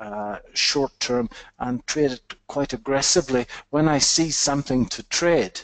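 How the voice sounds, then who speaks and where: The speech moves at a moderate pace with ordinary pitch variation. The sound is dry and close, without echo. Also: man. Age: 60s. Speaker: trading educator. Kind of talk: seminar talk. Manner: halting, many fillers.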